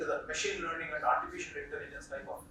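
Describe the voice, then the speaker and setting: Talking at a very fast pace with an Indian accent, a man is heard with audible room echo. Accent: Indian English, Telugu. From India, Telugu-speaking region. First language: Telugu. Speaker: professor. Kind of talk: lecture.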